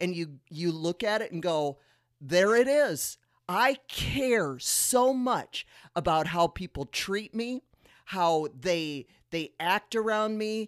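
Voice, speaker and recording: A woman talks at a very slow pace in a medium pitch, with very wide pitch swings. The recording is very clean, with a silent background and a dry, close sound with no echo. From South Dakota. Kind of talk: faith-based teaching chat.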